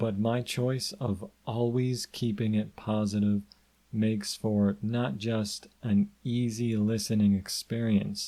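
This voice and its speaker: In a dark, mellow tone, a man with a fairly low pitch speaks at a very slow pace with fairly even intonation. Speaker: hypnotist podcast host. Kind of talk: podcast monologue. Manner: monotone.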